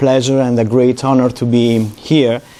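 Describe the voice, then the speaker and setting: A man with an Italian accent and medium pitch speaks at a moderate pace over noticeable background noise. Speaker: psychology professor. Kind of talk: lecture. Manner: halting, many fillers.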